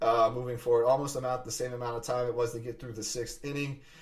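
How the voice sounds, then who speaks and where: A man's medium-pitched voice is accompanied by noticeable background noise. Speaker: sports podcast host. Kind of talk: solo sports podcast monologue. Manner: fast; animated.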